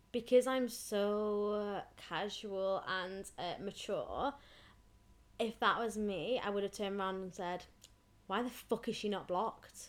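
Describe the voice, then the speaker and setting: A woman's plain, everyday voice at medium pitch, at a fairly slow pace, on a very clean recording with a silent background. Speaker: podcast co-host. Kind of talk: casual chat.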